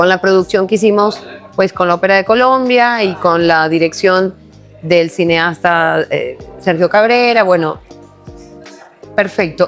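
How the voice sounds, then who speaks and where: A woman's medium-pitched, warm, upbeat voice at a fairly slow pace, with ordinary pitch variation, very even loudness, long, frequent pauses and music in the background. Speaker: podcast host. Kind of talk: podcast interview host talk.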